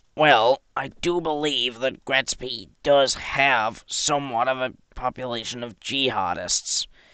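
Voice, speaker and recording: A man's raspy, put-on character voice at medium pitch, fairly slow in pace with hardly any pauses. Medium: machinima. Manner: formal, authoritative.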